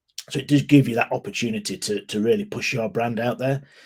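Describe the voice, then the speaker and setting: Speaking at a fairly quick pace with a British accent, a man delivers his words with lively intonation. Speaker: ecommerce consultant. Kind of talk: webinar presentation. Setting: online webinar. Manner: fast.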